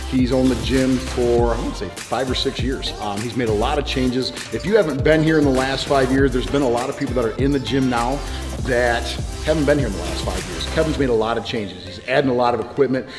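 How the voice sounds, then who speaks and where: A man rattles along at a very fast pace while clear music plays behind him. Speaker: personal trainer. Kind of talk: interview answer. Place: gym.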